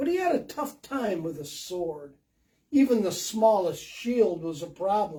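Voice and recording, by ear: A natural read-aloud voice, intonation lively, background quiet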